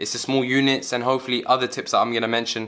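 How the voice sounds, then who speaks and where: A man at a very fast pace. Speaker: medical student giving exam advice. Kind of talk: tutorial. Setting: at home.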